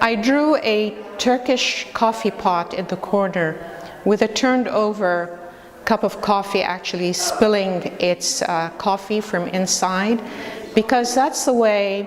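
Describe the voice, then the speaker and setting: A woman with an Arabic accent speaks at a medium pitch with ordinary variation over noticeable background noise. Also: fairly slow pace. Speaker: immigrant artist presenting a panel. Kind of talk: short presentation.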